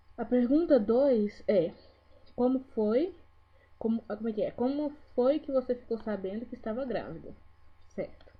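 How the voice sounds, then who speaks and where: Her voice high in pitch, a woman speaks with long, frequent pauses. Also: ordinary pitch variation. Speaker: vlogger. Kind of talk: casual vlog talk to camera. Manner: trying to speak slowly.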